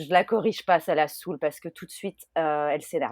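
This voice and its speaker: A woman's very deep, low voice in a dry, close sound with no echo. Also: very clean recording, silent background. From France. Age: 30s. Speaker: expat mother. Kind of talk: podcast interview testimony. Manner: hesitant, many fillers.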